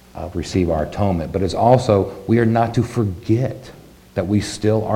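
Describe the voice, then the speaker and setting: There is audible room echo around this man's voice. He speaks with a fairly low pitch and ordinary pitch variation. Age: 40s. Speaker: congregation elder giving the sermon. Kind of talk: sermon. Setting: congregation service.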